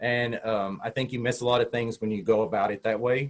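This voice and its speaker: Speaking with a Southern US accent, a man keeps a medium pitch and fairly even intonation. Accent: Southern US, hillbilly. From Tennessee. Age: 40s. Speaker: open water marathon swimmer. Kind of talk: interview answer. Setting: online video call. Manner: casual, conversational.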